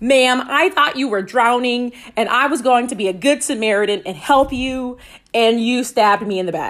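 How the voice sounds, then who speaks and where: Her high-pitched voice carries an animated tone and lively intonation as the woman speaks at a moderate pace. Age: 20s. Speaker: solo podcast host. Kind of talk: personal storytelling.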